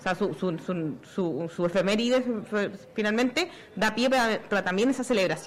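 A woman's fairly high voice at a moderate pace, very wide pitch swings, very even loudness, and noticeable background noise. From Chile. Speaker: comic artist and activist. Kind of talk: live radio talk show. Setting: outdoors at a fair.

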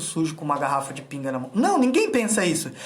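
A man with lively intonation, plus audible room echo and noticeable background noise. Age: 30s. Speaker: freemasonry self-help instructor. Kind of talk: motivational live stream talk. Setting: Instagram live video.

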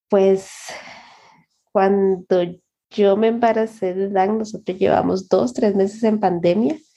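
At a very slow pace, a woman with a dark, mellow tone and medium pitch speaks in fairly even intonation, leaving long, frequent pauses. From Honduras. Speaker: software developer. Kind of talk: interview.

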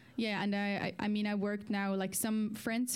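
The pace of this woman's speech is moderate. She talks at a fairly high pitch. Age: young. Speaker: singer and pianist. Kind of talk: interview. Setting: live studio stream. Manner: halting.

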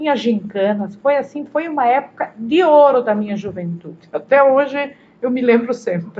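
This woman's high-pitched voice has lively intonation. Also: moderate pace. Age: 60s. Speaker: retired social worker. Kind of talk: interview reminiscence.

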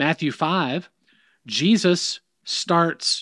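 Here a man speaks at a high pitch. The sound is dry and close, with no echo. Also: very clean recording, silent background. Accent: American. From US South. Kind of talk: casual conversation about faith.

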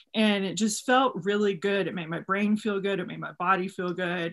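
A woman with a normal speaking voice talks at a moderate pace and medium pitch, her intonation fairly even. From Texas. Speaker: custom bootmaker. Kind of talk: casual interview. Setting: video call.

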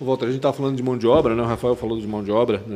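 Noticeable background noise sits behind a man's voice. He speaks at a medium pitch with fairly even intonation. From Chile. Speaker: journalist and podcast co-host. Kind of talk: interview.

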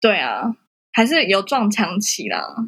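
A woman with a plain, everyday voice talks at a moderate pace in a fairly high pitch with ordinary pitch variation. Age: 20s. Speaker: photographer and social media visual content instructor. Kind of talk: casual interview.

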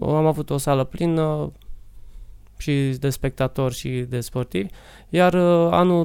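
Recorded very cleanly over a silent background, a man speaks in a dark, mellow tone. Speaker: martial arts coach. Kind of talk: interview.

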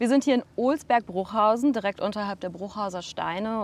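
At a fairly quick pace, a woman speaks in a normal speaking voice with ordinary pitch variation on a very clean recording with a silent background. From Sauerland, Germany. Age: 30s. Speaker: geopark director. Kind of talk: casual interview.

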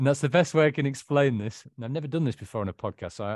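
With a northern English accent, a man talks at a fairly quick pace and with ordinary pitch variation, recorded dry and close with no echo over a quiet background. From northern England. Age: 40s. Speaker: author and recovered alcoholic. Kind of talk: interview, personal life story.

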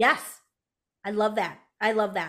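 A woman with an American accent speaks at a fairly high pitch in a very clean recording with a silent background. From US, Hmong American family. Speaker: business coach. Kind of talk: podcast interview. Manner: animated.

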